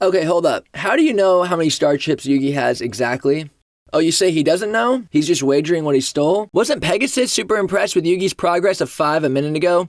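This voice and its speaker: Very fast speech from a man with a high pitch, lively intonation and very even loudness. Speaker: commentary video host. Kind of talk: casual commentary.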